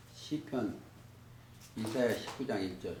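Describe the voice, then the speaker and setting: A man speaks at a medium pitch with vocal fry. Audible room echo surrounds his voice. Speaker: bible teacher. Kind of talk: bible study lecture.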